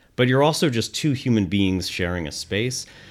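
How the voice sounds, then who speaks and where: Speaking in a plain, everyday voice with lively intonation, a man keeps a moderate pace in a very clean recording with a silent background. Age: 40s. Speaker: nonprofit executive director. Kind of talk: casual interview.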